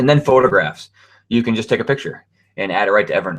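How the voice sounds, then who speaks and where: A very fast-talking man, with a quiet background behind him. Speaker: webinar presenter. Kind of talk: webinar tutorial. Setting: online webinar (hangout on air). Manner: casual, filler-heavy.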